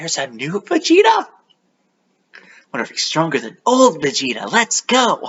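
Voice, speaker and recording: Long, frequent pauses break up this put-on character voice, pitched fairly high. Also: moderate pace. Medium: solo performance. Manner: eager, easygoing.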